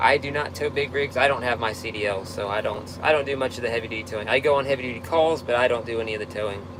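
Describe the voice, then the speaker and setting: A man with an American accent talks at a very fast pace in a medium pitch, with ordinary pitch variation, hardly any pauses, and noticeable background noise. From Texas. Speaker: tow truck operator. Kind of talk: live stream Q&A reading comments. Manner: casual, halting with fillers.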